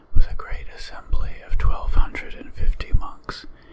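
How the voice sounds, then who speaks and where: A whispered voice moves at a fairly slow pace through noticeable background noise. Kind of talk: ASMR sutra reading.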